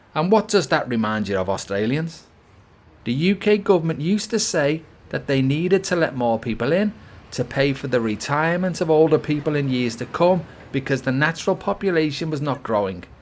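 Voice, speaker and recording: A man with a British accent, fairly high in pitch, at a fairly quick pace with very wide pitch swings. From UK. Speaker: political commentator. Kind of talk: opinion monologue.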